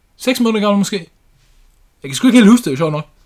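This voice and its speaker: This man's voice sits high and moves through very wide pitch swings. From Denmark. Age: 20s. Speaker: podcast host, house painter. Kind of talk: casual chat.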